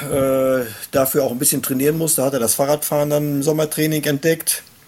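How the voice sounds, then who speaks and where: Amid noticeable background noise, a man with a fairly high pitch talks at a fairly quick pace in a monotone, flat intonation. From Germany, Hochsauerland (Sauerland). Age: 50s. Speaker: sports club chairman and race organizer. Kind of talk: casual chat.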